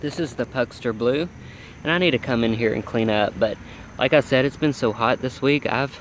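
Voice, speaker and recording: A man speaks at a moderate pace with a medium pitch. It's a plain, everyday voice. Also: ordinary pitch variation. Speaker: home gardener vlogger. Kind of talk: garden tour walkthrough. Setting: outdoors by a road.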